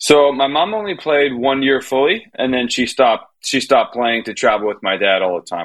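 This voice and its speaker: A man with an American accent speaks in an unremarkable speaking voice. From Miami, US. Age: 30s. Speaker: tennis coach. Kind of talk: casual chat.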